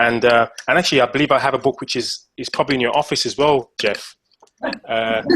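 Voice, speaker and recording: A man speaks with an English accent at medium pitch. His intonation is fairly even and his pace fairly quick. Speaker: fitness coach and author. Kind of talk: casual interview. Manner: halting, many repeated words.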